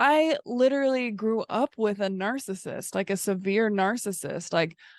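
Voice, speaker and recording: Speaking at a fairly slow pace, a woman uses a fairly high pitch with ordinary pitch variation and an ordinary speaking voice. The sound is dry and close, with no echo. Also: quiet background. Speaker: podcast co-host, therapist-like coach. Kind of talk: casual chat.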